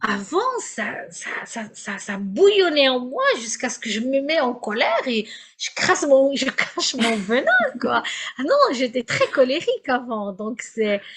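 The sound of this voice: High in pitch with big swings, a woman's voice carries a slightly husky edge at a fairly slow pace.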